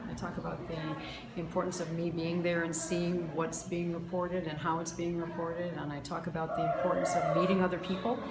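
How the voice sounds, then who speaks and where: This woman talks at a fairly quick pace in a fairly low voice. The recording has audible room echo and noticeable background noise. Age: 60s. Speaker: science teacher. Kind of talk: interview answers.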